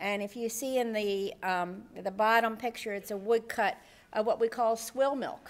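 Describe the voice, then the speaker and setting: This unremarkable speaking voice, with an American accent, moves at a moderate pace with fairly even intonation on a very clean recording with a silent background. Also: woman, fairly high pitch for a woman. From US Northeast. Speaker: nursing professor. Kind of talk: conference presentation.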